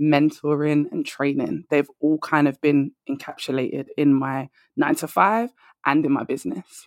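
In a London accent, a woman with a very deep, low voice speaks with ordinary pitch variation, the sound dry and close with no echo. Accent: London British. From London, England. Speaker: career and confidence coach. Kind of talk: casual interview chat. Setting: remote call from London.

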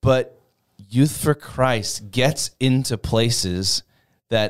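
A man speaks with an Upper Midwest accent and ordinary pitch variation. The sound is dry and close with no echo, a very clean recording with a silent background. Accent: Upper Midwest American. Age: 20s. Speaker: youth ministry worker, former pastor. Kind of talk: casual interview, personal testimony. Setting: studio. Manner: animated.

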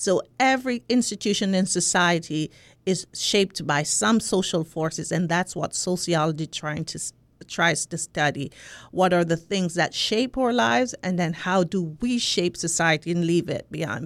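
A woman with a Jamaican accent, fairly low in pitch, with lively intonation at a moderate pace, on a very clean recording with a silent background. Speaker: sociology professor. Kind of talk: interview conversation. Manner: halting, many filler words.

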